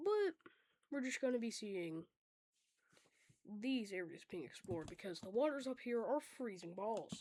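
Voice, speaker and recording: Speaking at a moderate pace with long, frequent pauses, a woman has a fairly high pitch and a dark, mellow tone. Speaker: map animation creator. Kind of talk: casual narration over map drawing. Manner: casual, filler-heavy.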